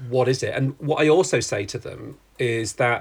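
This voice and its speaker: A man with a British accent talks fairly slowly at a medium pitch, his voice somewhat breathy and his intonation fairly even. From UK. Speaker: writer and design historian. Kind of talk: interview conversation.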